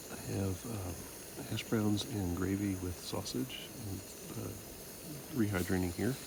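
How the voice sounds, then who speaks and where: Soft-spoken and at a fairly slow pace, a man talks with long, frequent pauses and ordinary pitch variation, with audible room echo and noticeable background noise. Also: fairly low pitch for a man. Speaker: hiking vlogger. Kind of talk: outdoor vlog narration. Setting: outdoors.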